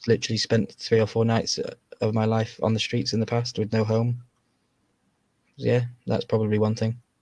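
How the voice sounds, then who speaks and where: A man speaks with flat, monotone intonation at a medium pitch and a moderate pace. His voice is somewhat breathy, with long, frequent pauses. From England. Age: 30s. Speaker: podcast guest. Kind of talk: casual chat.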